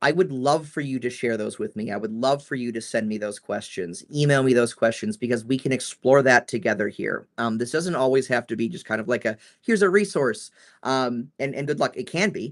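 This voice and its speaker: A medium-pitched man talks at a moderate pace with lively intonation. He barely pauses, and the background is quiet. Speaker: trainer answering staff questions. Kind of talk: live Q&A. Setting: livestream. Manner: loud; hesitant, many fillers.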